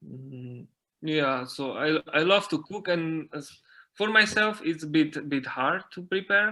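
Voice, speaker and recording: In a very clean recording with a silent background, a man speaks at a very slow pace. His tone is bright and sharp, with ordinary pitch variation. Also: fairly high pitch for a man, big swings in loudness. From Slovakia, mountain area. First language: Slovak. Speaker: dancer and dance teacher. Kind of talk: interview. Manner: halting, many fillers and repetitions.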